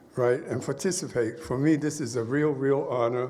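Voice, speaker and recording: With audible room echo, a man speaks at a moderate pace in an American accent. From USA. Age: 70s. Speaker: jazz musician. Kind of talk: ceremony speech. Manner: informal, improvised.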